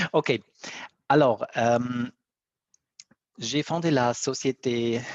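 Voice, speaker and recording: Speaking at a very slow pace, a man with an Italian-Swiss accent keeps a medium pitch with ordinary pitch variation. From Italy / Switzerland. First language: Italian (speaking French). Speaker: BIM coordinator, company founder. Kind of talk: webinar presentation.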